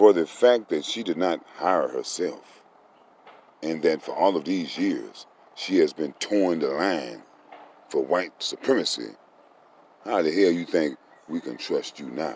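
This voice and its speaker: A man with an American accent talks at a fairly slow pace, leaving long, frequent pauses. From Texas. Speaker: commentator. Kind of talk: opinion commentary. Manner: animated.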